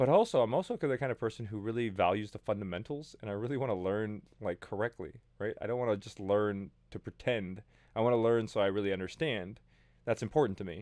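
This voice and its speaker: A man's fairly low voice at a very fast pace, over a quiet background, with a dry sound and no echo. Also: ordinary pitch variation. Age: 30s. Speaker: vlogger. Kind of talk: casual vlog monologue. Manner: animated. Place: home room. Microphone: studio mic.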